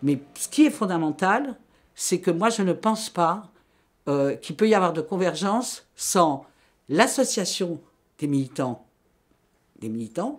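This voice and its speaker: On a very clean recording with a silent background, a woman speaks very slowly in a fairly low pitch, with very wide pitch swings and long, frequent pauses. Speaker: activist. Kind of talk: interview. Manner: halting.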